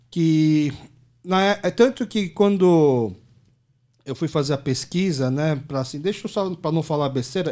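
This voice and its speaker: A man talks at a fairly slow pace with a fairly high pitch and ordinary pitch variation. His tone is dark and mellow, and the recording is very clean with a silent background. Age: 30s. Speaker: podcast host. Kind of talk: casual interview conversation.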